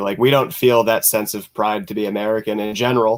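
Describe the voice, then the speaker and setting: At a moderate pace comes a plain, everyday voice. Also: man. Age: 20s. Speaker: panelist. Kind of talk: casual political chat.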